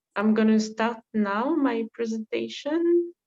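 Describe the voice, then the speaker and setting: With a French accent, a woman speaks at a fairly high pitch in a dry, close sound with no echo. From France, Paris. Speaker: volunteer. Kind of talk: presentation. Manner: halting.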